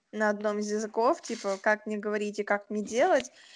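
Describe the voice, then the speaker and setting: A woman with a fairly high voice talks very fast against a quiet background. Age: 20s. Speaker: podcast co-host. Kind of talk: casual chat. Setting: remote recording.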